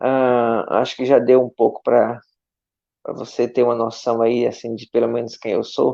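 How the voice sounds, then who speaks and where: A man is speaking. He has a strong northeastern Brazilian accent. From Brazilian Northeast, Aracaju. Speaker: missionary pastor. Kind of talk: testimony in online church live stream. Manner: warm, conversational.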